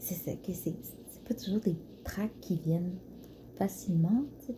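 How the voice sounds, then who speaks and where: A soft-spoken whisper in a Quebec accent, gentle in tone. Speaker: ASMR creator, floristry student. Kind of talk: ASMR soft talking, casual musings to camera. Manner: soft-spoken, whispered, gentle.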